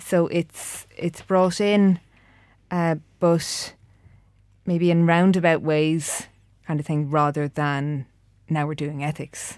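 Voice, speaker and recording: In an Irish accent, a woman speaks at a very slow pace, leaving long, frequent pauses. Her pitch is fairly low and her intonation fairly even. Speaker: engineer, committee chair. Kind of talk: casual interview chat.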